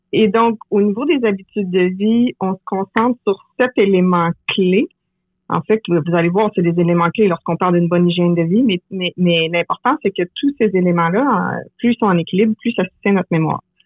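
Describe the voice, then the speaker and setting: A woman speaks with a Quebec accent at a medium pitch. Her pace is moderate and her pitch varies in an ordinary way. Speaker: memory coach. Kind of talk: interview.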